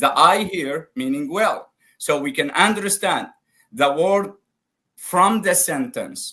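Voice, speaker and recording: Projecting a raised voice, a man with an Arabic accent speaks very slowly at a high pitch, his tone bright and sharp and his intonation lively. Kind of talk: live debate call-in.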